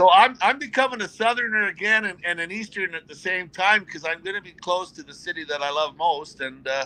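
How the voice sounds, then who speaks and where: Raising and projecting his high-pitched voice, a man talks at a fairly quick pace with hardly any pauses and lively intonation. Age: 60s. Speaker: retired hockey player. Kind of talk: interview.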